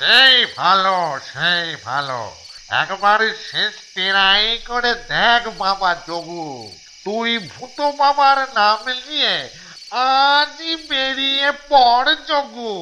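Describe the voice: A cartoonish character voice, fairly high in pitch, at a very slow pace over clear background noise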